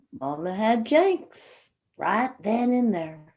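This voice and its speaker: A woman puts on a character voice with an Appalachian accent, pitched fairly high. She speaks at a very slow pace with very wide pitch swings. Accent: Appalachian rural. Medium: stage play.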